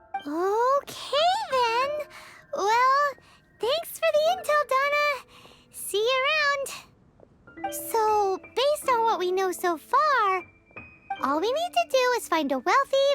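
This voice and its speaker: A squeaky, put-on character voice at an extremely high pitch speaks at a very slow pace while music plays in the background. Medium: video game. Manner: excitable, blunt.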